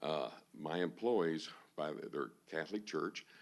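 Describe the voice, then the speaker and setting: Speaking with a Texan accent, a man uses a very deep, low voice with ordinary pitch variation. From Texas, Houston area. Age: 60s. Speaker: auctioneer, public commenter. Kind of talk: public comment at city council. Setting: city council meeting room.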